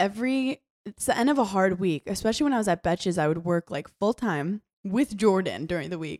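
A woman with an unremarkable speaking voice talks at a fairly quick pace, medium in pitch with lively intonation. The recording is very clean and silent in the background, with a dry, close sound with no echo. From New York. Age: 20s. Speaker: reality TV personality and comedian. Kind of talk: casual chat.

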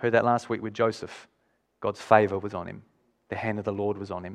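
This man talks with an Australian accent. His voice is pitched fairly low. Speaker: pastor. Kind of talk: sermon.

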